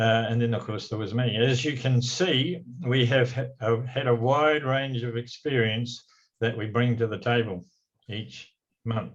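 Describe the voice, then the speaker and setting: Somewhat breathy and fairly slow, this voice keeps a fairly even intonation and speaks in a New Zealand accent. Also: man, medium pitch for a man. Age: 80s+. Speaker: retiring community trust chairman. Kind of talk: farewell speech read from notes. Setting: council meeting. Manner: halting, with frequent fillers.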